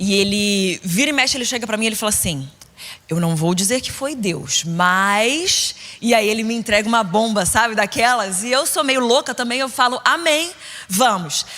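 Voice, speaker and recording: A woman speaks at a moderate pace with a fairly high pitch and lively intonation. Her tone is animated, bright and sharp. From Brazil, Rio de Janeiro state (Niterói). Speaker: preacher. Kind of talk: sermon.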